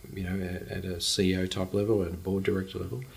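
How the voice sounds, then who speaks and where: Speaking with an Australian accent, a man with a fairly low pitch uses ordinary pitch variation. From Australia, Brisbane. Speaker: charity CEO. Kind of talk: interview.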